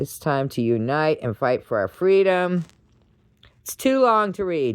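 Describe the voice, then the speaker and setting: This woman's voice sits very deep and low, with very wide pitch swings. She talks at a fairly slow pace. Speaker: political commentary vlogger. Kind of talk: casual monologue reading posts. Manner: loud; animated.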